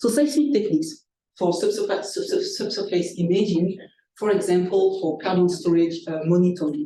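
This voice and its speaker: With a non-native accent, a woman of medium pitch speaks at a moderate pace in a dark, mellow tone with lively intonation, and audible room echo surrounds her voice. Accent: foreign. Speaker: scientist, seminar speaker. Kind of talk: lecture. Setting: seminar room with live and online audience. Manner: halting, many fillers.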